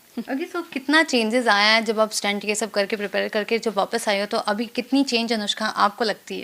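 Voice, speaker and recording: With a bright, sharp tone and fairly high pitch, a woman talks at a moderate pace with ordinary pitch variation and hardly any pauses. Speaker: entertainment interviewer. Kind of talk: interview questions.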